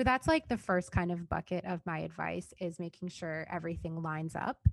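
A woman at a moderate pace, in a dry, close sound with no echo. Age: 20s. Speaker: software consultant and work vlogger. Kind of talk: casual interview chat. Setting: podcast recording with a mic.

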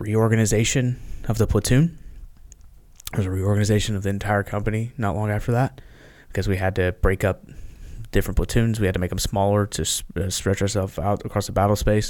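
In an American accent, a man speaks in an unremarkable speaking voice, pitched fairly low with fairly even intonation. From US South, Memphis, Tennessee. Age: 30s. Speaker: Marine veteran and social media creator. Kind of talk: casual interview, war storytelling; heated war story, reenacting an angry threat at a local official to get a phone.

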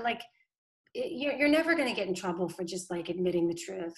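Music plays behind a woman speaking with an American accent and lively intonation. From Boston. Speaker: political communications director. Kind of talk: casual interview chat. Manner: fast, filler-heavy.

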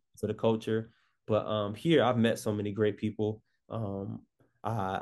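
A man speaks with an American accent at a fairly low pitch. His intonation is flat and monotone. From Chicago suburbs, Illinois. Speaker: writer and filmmaker. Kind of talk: casual interview. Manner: halting, many fillers.

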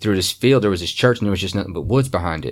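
A man with a Kentucky accent speaks at a fairly low pitch with ordinary pitch variation. The recording is very clean, with a silent background. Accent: Kentucky Southern. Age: 30s. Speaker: paranormal investigator. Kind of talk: interview storytelling. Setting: studio.

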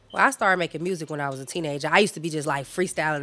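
A woman speaks at a very fast pace with a bright, sharp tone and lively intonation, recorded very cleanly with a silent background. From Chicago, West Side. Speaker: rapper. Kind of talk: interview. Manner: casual.

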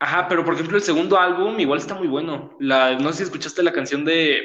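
The man's voice carries an audible room echo. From Mexico City. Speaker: podcast host. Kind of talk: casual chat.

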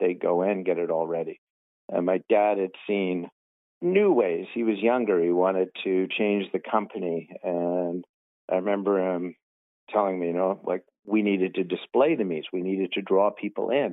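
A man with a Canadian accent speaks at a moderate pace. His voice is very deep and low, with fairly even intonation. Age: 50s. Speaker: realtor. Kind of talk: casual interview chat.

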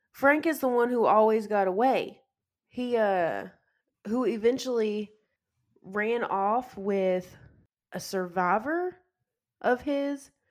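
A woman at a very slow pace with very wide pitch swings. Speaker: podcast co-host. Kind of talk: casual chat, movie discussion.

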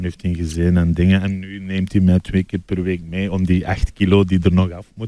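A man speaks in a very deep, low voice. His intonation is monotone and flat. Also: moderate pace, hardly any pauses. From Belgium, Limburg. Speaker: comedian. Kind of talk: casual chat.

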